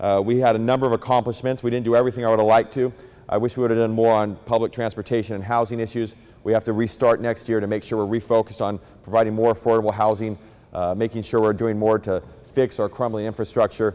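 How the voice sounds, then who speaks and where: Speech moves at a very fast pace with a dark, mellow tone. Intonation stays monotone and flat. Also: man. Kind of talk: public speech. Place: hall. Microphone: handheld.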